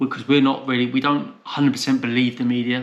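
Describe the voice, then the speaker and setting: A man with a Portsmouth accent speaks at a medium pitch. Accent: southern English, Portsmouth. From southern England, Portsmouth, Hampshire. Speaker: travel vlogger. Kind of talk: casual chat.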